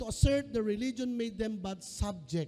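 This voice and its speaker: A man is speaking. His tone is dark and mellow. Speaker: pastor. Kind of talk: sermon. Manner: animated.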